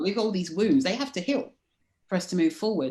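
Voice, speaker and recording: With a London accent, a woman is speaking. Her intonation is lively. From London, England. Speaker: life coach. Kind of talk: interview.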